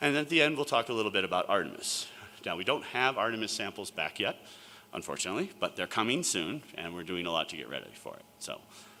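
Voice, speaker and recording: The speaker talks at a very fast pace with very wide pitch swings over noticeable background noise. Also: man, medium pitch for a man, big swings in loudness. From New York. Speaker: planetary scientist and sample curator. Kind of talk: conference talk.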